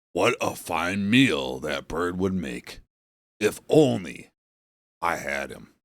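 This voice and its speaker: It's a put-on character voice delivered at a very slow pace with long, frequent pauses. Pitch swings very widely and loudness shifts in big swings. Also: man, very deep, low pitch for a man. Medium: read story.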